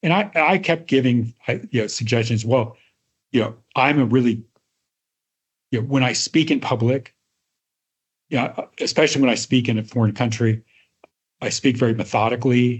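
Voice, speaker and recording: A somewhat breathy man speaks with ordinary pitch variation and long, frequent pauses. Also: medium pitch for a man, moderate pace. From Iowa, US Midwest. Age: old. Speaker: retired tech research executive. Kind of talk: interview storytelling.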